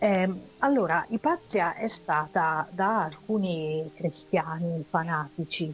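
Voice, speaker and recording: In a dry, close recording with no echo, a woman speaks at a fairly low pitch, her voice somewhat breathy. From Italy, Udine (Friuli). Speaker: radio co-host. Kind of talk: casual chat. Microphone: voice cutting out, poor headset or mic.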